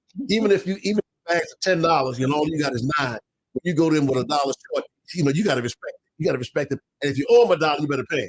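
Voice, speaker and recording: Racing along at a very fast pace, a man speaks with lively intonation and a somewhat breathy sound. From Baltimore. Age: 70s. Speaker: minister and recovery radio broadcaster. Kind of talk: casual talk show interview with testimony. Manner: halting, many repeats and fillers.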